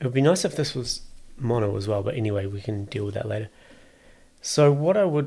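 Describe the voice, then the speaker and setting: A man talks very fast at a medium pitch, his tone dark and mellow and somewhat breathy. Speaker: music producer. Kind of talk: tutorial. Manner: unscripted, thinking aloud.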